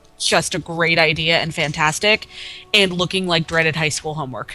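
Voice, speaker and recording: Music plays in the background as a woman speaks at a fairly quick pace. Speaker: podcast co-host. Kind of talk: casual chat while gaming.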